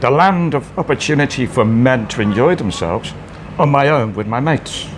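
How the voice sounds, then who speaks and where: There is noticeable background noise behind this man at a medium pitch. He speaks at a fairly quick pace with lively intonation. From northern England, Wallasey near Liverpool. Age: 60s. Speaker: bar owner. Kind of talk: casual chat. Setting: bar.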